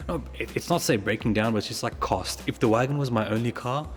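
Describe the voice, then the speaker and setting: Using an Australian accent, a man talks with vocal fry and very wide pitch swings. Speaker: car enthusiast vlogger. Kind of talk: casual vlog. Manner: fast.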